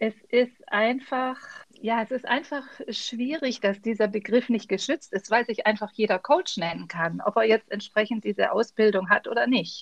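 The sound is dry and close with no echo, and the pace is moderate with ordinary pitch variation. It is an unremarkable speaking voice. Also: woman, fairly high pitch for a woman. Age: 50s. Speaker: leadership trainer and coach. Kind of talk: interview answers.

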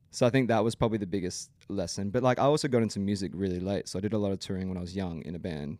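Speaking with an Australian accent, a man talks at a very fast pace with hardly any pauses, his fairly low voice dark and mellow in tone with ordinary pitch variation. The recording is very clean, with a silent background. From Brisbane, Australia. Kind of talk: casual interview chat.

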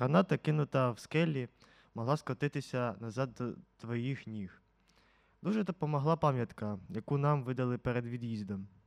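Recorded with a dry, close sound and no echo, a man with an ordinary speaking voice talks at a moderate pace with ordinary pitch variation. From central Ukraine, Poltava region. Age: 50s. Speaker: war veteran. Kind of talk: testimony.

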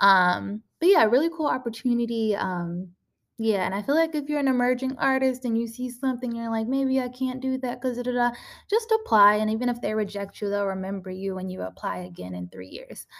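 On a very clean recording with a silent background, a woman speaks at a fairly quick pace. Her pitch is fairly high with ordinary variation, and she has an ordinary speaking voice. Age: 20s. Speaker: podcast host and artist. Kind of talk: casual solo talk. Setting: recording in a room at an artist residency house. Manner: frequent filler words (um, like).

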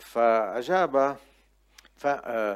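The man's voice sits at a medium pitch. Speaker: preacher. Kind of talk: sermon. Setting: church with congregation. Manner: animated, exhortative.

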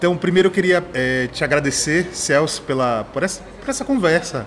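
There is noticeable background noise as a man talks. He keeps a moderate pace with lively intonation. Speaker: podcast host. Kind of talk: casual interview. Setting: outdoors at a street bar. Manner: halting.

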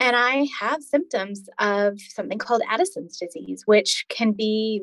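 The speaker has a plain, everyday voice. Delivery is at a moderate pace with lively intonation. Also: woman. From Alberta, Canada. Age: 40s. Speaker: chronic illness patient, former paramedic. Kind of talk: interview, personal story.

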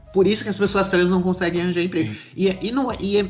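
There is noticeable background noise behind a man with a fairly high pitch. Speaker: podcast host. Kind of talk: casual chat.

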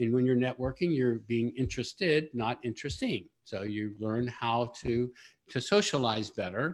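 On a very clean recording with a silent background, a man uses an ordinary speaking voice at a medium pitch and a moderate pace. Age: 60s. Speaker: business consultant. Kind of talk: interview. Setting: live stream.

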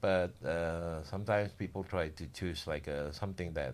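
With an Indonesian accent, a man speaks at a moderate pace in a very deep, low voice with ordinary pitch variation, on a very clean recording with a silent background. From Indonesia, Java. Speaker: building contractor. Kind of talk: casual interview.

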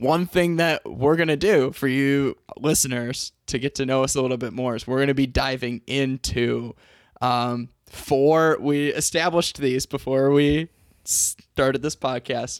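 A man with a normal speaking voice talks at a fairly slow pace in a fairly high pitch. The sound is dry and close with no echo, on a very clean recording with a silent background. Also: fairly even intonation. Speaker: podcast host, teacher. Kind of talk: casual chat.

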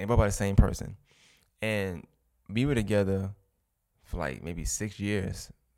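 On a very clean recording with a silent background, a man with a Brooklyn accent speaks at a moderate pace and a fairly low pitch. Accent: New York (Brooklyn). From Brooklyn, New York. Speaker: podcast host, guest here. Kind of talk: casual interview conversation.

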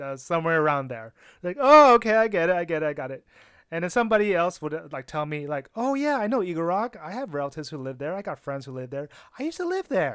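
In an American accent, a man speaks very fast in a high voice with very wide pitch swings. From Los Angeles, California. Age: 30s. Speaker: podcast host. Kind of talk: solo podcast monologue. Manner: casual, with frequent filler words.

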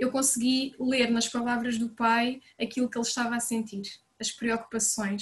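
Her intonation flat and monotone, a woman talks with a fairly high pitch. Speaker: nursery coordinator. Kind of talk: casual chat.

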